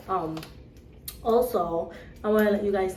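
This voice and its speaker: A woman's medium-pitched voice, fairly even in intonation, comes through audible room echo with noticeable background noise. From Cape Verde. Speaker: vlogger. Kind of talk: casual vlog chat.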